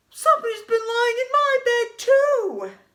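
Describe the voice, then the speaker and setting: A female-sounding put-on character voice, squeaky and extremely high in pitch. It moves at a moderate pace. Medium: read story.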